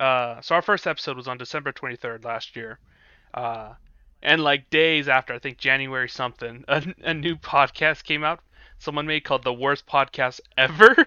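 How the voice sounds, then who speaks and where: A man talks at a fairly quick pace in a plain, everyday voice, pitched fairly high. His loudness swings a lot. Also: ordinary pitch variation. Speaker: podcast co-host. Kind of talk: casual comedic chat.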